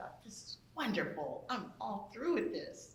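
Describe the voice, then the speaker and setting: Audible room echo around a woman's moderate pace. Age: 70s. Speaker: audience member. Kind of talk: audience comment.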